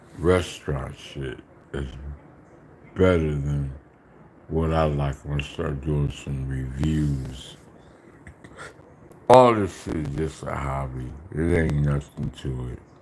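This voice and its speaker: Amid noticeable background noise, a man with a very deep, low voice speaks very slowly with fairly even intonation and long, frequent pauses. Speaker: food eating livestreamer. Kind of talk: casual live stream chat. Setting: live stream. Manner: talking low.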